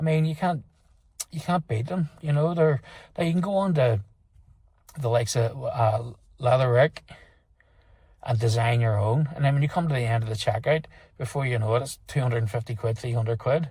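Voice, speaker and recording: Speaking quickly but with long, frequent pauses, a man with a Northern Irish accent has a somewhat breathy, dark, mellow tone, a medium pitch and ordinary pitch variation. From Northern Ireland. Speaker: motorcycle vlogger. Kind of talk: product review. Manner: halting, many fillers and repeats; casual.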